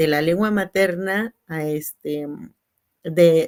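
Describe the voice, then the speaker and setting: Her fairly low-pitched voice carries lively intonation as this woman speaks. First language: Tzeltal (speaking Spanish). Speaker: teacher and translator. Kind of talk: panel discussion. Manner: halting.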